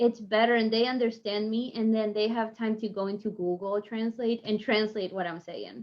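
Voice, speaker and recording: Speaking with an Argentine accent, a woman keeps a moderate pace with hardly any pauses. Her fairly high voice has monotone, flat intonation. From Argentina. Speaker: online home sales specialist. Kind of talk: podcast interview.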